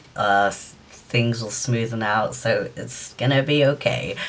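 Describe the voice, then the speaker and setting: The speech unfolds at a very slow pace in a British accent. Its intonation stays fairly even. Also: man. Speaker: YouTuber. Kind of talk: vlog monologue. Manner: halting; flat-sounding. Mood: reflective, hopeful. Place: home room. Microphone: phone near.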